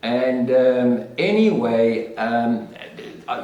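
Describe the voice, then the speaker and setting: Through audible room echo and noticeable background noise, a man speaks at a medium pitch with lively intonation. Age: 60s. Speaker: podcast host. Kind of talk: personal monologue podcast. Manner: halting, many fillers and repeats.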